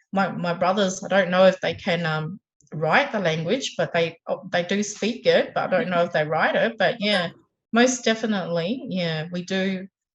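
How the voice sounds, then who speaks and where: A woman with an Australian accent, medium pitch, ordinary pitch variation and a somewhat breathy quality. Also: moderate pace. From Tasmania, Australia. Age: 40s. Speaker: mother of nine, government services worker. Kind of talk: interview answer.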